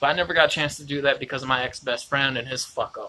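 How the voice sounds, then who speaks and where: The voice is loud and moves at a very fast pace. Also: man. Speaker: independent musician and vlogger. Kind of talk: live video monologue. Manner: rambling, hesitant.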